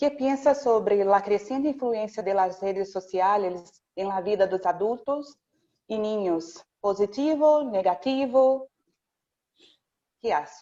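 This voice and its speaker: This woman talks at a very slow pace in a medium pitch, with a dark, mellow tone and lively intonation. She has a non-native accent, and the background is quiet. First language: Portuguese (speaking Spanish). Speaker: audience participant asking a question. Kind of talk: question in video call. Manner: hesitant.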